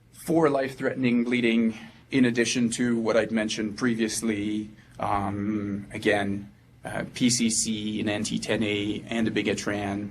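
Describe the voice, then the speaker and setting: At a moderate pace, a man with a fairly low pitch speaks in a flat monotone, with audible room echo around him. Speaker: anesthesia resident doctor. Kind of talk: medical lecture. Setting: presentation room with audience. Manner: halting, many fillers.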